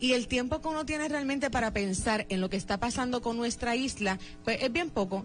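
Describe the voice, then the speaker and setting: Lively intonation marks this woman's fairly high pitch. She speaks at a moderate pace. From Puerto Rico, Lares (central mountain area). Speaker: radio host. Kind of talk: radio interview.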